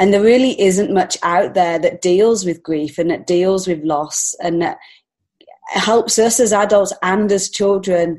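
The speaker is a woman with an English accent. Her pitch is medium. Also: ordinary pitch variation, fairly slow pace. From England. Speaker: children's book author and illustrator. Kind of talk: interview.

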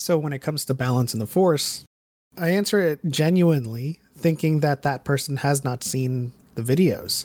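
A man with a plain, everyday voice, fairly high pitch, moderate pace and ordinary pitch variation, in a very clean recording with a silent background. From New York / New Jersey area. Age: 30s. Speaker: Star Wars lore content creator. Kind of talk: casual interview chat.

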